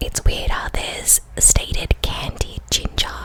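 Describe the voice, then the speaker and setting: A woman whispers at a fairly slow pace. Noticeable background noise runs behind her. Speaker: ASMR creator. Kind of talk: fragrance review, ASMR-style rambling.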